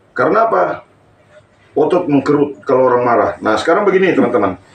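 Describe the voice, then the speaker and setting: With noticeable background noise around him, a man speaks fairly quickly and with lively intonation. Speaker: stroke therapist. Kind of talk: live-streamed therapy tutorial. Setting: live stream during a hands-on therapy session.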